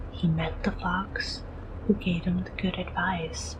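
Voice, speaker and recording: Soft-spoken, a woman talks at a fairly slow pace. Noticeable background noise is present. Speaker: VTuber. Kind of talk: bedtime story reading.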